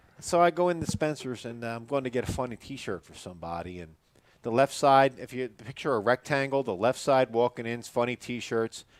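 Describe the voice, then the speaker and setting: In an ordinary speaking voice, a man with a medium pitch and ordinary pitch variation talks at a fairly quick pace with big swings in loudness, the sound dry and close with no echo. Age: 40s. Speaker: bass fishing podcast host. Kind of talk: casual chat.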